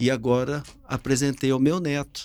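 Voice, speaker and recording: A man is talking. He goes at a fairly slow pace. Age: 60s. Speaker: business owner. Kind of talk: family podcast conversation.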